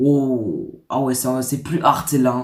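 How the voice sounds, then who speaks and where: Speech arrives at a fairly slow pace in a somewhat breathy voice. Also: man. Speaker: YouTuber. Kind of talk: casual vlog reading stories. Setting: dim room. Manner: soft-spoken.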